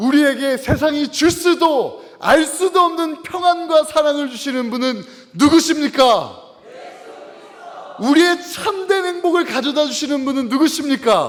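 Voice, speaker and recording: A man speaks at a fairly slow pace with ordinary pitch variation and an extremely high pitch. Noticeable background noise runs behind him. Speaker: pastor. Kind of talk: sermon. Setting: church. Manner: call-and-response, raising voice; hesitant fillers.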